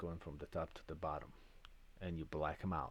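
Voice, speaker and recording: The voice carries a European accent. Its intonation is monotone and flat. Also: man. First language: non-English European language. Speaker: lottery system creator and channel host. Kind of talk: tutorial. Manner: hesitant, with fillers and restarts.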